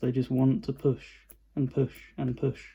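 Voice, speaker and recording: A man speaks at a fairly slow pace in a dark, mellow tone that is somewhat breathy. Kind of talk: casual talk to camera. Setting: recorded on a phone.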